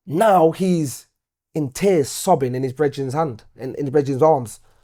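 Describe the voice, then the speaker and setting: In a Nottingham accent, a man talks at a fairly slow pace with a fairly high pitch. His pitch varies in an ordinary way, on a very clean recording with a silent background. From Nottingham, St. Ann's. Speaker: poet and musician. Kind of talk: interview answer. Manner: casual, conversational.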